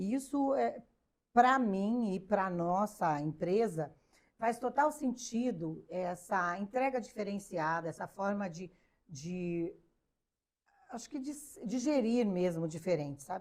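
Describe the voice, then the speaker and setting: Her pitch swings very widely as this woman talks at a very slow pace. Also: medium pitch for a woman. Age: 60s. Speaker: business founder. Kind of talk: interview. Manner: hesitant, many fillers.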